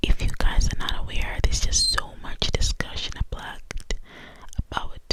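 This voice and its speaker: Whispering from a woman, with noticeable background noise behind her. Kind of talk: ASMR whispered true crime ramble; casual talk to camera, discussion. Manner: whispered, soft-spoken.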